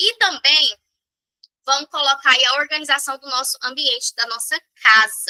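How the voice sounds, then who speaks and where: Dry and close with no echo, a woman's high-pitched, bright, sharp voice is raised and projected at a moderate pace, with big swings in loudness and long, frequent pauses. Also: ordinary pitch variation. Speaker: sales trainer. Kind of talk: online training session. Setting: live stream with chat.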